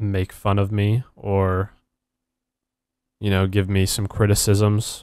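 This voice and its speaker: Speaking at a very slow pace with long, frequent pauses, a man delivers fairly low-pitched, monotone lines on a very clean recording with a silent background. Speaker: gaming YouTuber. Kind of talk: gameplay commentary.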